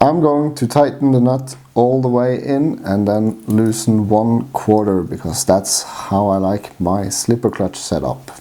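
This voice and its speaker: A man with a strong Norwegian accent speaks at a fairly slow pace. His pitch is medium, with ordinary pitch variation. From Norway. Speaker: RC hobbyist. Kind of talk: how-to tutorial talk to camera.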